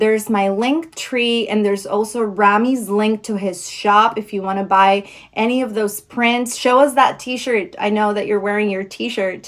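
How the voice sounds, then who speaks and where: At a fairly slow pace, a woman speaks in a warm, enthusiastic tone, her fairly high pitch showing ordinary variation. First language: not English. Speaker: live audio show host. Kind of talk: live audio show interview wrap-up. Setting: live audio app stage.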